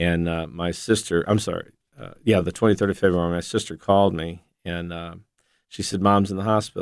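His intonation holds fairly even. The man talks with an American accent. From northeast Ohio. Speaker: missionary. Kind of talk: interview testimony.

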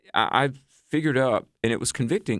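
Dry and close with no echo, a man's medium-pitched voice is a plain, everyday voice with ordinary pitch variation. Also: very clean recording, silent background. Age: 50s. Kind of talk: radio interview.

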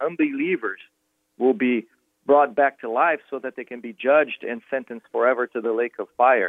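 A man with a Brazilian accent, medium-pitched and at a moderate pace. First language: Portuguese. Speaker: pastor and author. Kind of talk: interview.

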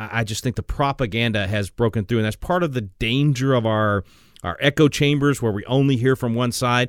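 Recorded dry and close with no echo, a man with a Texan accent speaks at a medium pitch with ordinary pitch variation. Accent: Texan Southern US. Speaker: radio host. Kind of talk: call-in radio show. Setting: studio. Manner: animated.

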